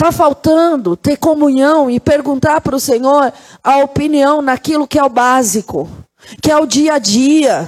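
Her tone is animated, and her pitch is high. This woman keeps her loudness very even. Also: ordinary pitch variation, fairly slow pace. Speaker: pastor. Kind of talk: sermon.

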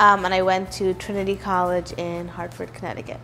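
Noticeable background noise accompanies a woman with an American accent. She speaks at a medium pitch and a fairly quick pace. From New York City, Manhattan. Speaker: food blogger. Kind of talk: interview.

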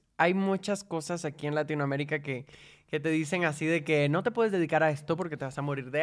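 A man with a fairly high voice and ordinary pitch variation speaks at a very fast pace on a very clean recording with a silent background. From Cuba, then Guatemala from 14. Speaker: singer. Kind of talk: casual chat.

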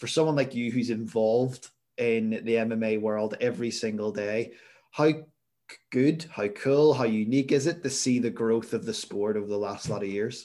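A man speaks with a Northern Irish accent at medium pitch. His pace is moderate, with ordinary pitch variation. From Northern Ireland, near Belfast. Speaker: podcast host. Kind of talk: interview.

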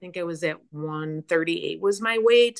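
In a Chicago accent, a woman talks with ordinary pitch variation. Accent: Chicago American. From US Midwest, Chicago area. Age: 60s. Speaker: fitness program member. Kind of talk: interview, personal story.

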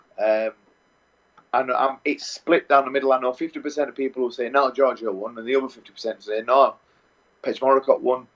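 A man with an English accent, medium pitch and monotone, flat intonation, at a moderate pace with long, frequent pauses. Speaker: Muay Thai fighter. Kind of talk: interview.

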